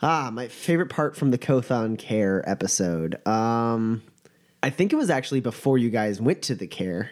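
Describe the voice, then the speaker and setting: A man's normal speaking voice, medium in pitch, with lively intonation at a moderate pace, on a very clean recording with a silent background. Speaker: game master and podcast host. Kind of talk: tabletop RPG session, casual chat with in-character voices.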